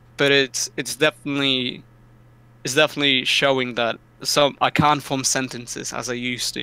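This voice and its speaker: The voice has a bright, sharp tone and moves at a moderate pace. Its intonation is monotone and flat. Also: man, medium pitch for a man. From Poland, moved to UK at ten. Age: 20s. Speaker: esports player. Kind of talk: interview.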